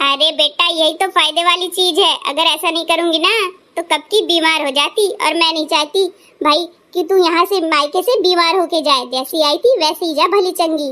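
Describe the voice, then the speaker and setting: In a cartoonish character voice, a woman talks at an extremely high pitch with ordinary pitch variation and a moderate pace. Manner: lecturing, self-assured.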